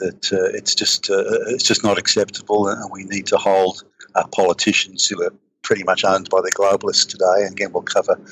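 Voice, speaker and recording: Speaking fairly quickly, this man has an Australian accent. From east coast of Australia. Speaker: political commentator. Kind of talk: interview conversation. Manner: halting, many repetitions and fillers.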